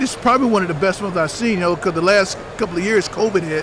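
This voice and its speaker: The speech runs at a fairly quick pace with ordinary pitch variation over noticeable background noise. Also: man. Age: 60s. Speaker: retired army ranger. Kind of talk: interview. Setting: trade show floor. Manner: halting, many fillers.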